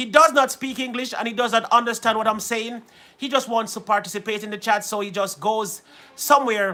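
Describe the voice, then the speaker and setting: A man with an American accent, high in pitch, in a raised, projected voice at a fairly quick pace with fairly even intonation. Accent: Jamaican, shifts toward an American twang. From Jamaica. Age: 40s. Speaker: musician and live-stream host. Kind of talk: casual live-stream chat. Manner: switches into Jamaican patois.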